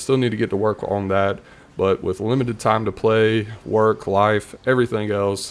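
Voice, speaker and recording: A man with a Southern accent speaks in a fairly low pitch with monotone, flat intonation. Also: moderate pace. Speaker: gaming YouTuber. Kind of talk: casual video commentary. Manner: chatty, rambling.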